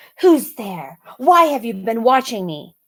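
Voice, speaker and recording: A put-on character voice, female-sounding and fairly high, comes out with a hissing edge. It moves at a fairly slow pace with very wide pitch swings. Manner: hissing, wary.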